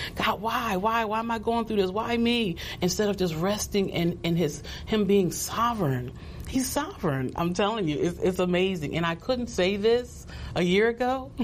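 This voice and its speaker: Amid noticeable background noise and audible room echo, a woman of medium pitch speaks at a moderate pace with lively intonation and very even loudness. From New Jersey. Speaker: pastor. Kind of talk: testimony.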